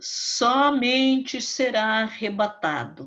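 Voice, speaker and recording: A woman speaks at a very slow pace in a bright, sharp tone over a quiet background. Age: 70s. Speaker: Bible teacher. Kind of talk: sermon. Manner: fervent.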